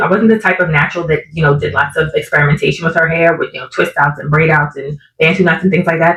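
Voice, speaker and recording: Somewhat breathy, a woman rushes along at a very fast pace. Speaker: natural hair content creator. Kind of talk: casual talk to camera.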